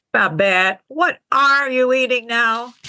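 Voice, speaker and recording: A woman puts on a character voice with a high pitch and lively intonation. She takes a fairly slow pace. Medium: audio drama. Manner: blunt, crude.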